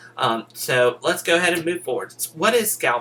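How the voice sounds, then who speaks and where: A man speaks with a high pitch and very wide pitch swings. Noticeable background noise runs underneath. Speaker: crypto trading teacher. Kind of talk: lecture. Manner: deliberately slowed down.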